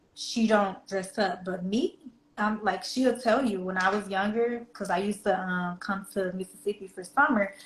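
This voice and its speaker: She speaks at a medium pitch with a slight Southern US accent. The woman keeps a moderate pace and fairly even intonation. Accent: slight country Southern US. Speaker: fashion reseller and influencer. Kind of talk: casual interview chat. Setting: live stream.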